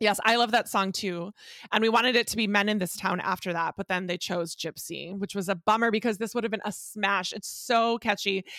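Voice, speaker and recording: Bright and sharp in tone, a woman speaks at a fairly quick pace and medium pitch, her delivery animated. The sound is dry and close, with no echo. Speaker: podcast co-host, music fan. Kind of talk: casual chat.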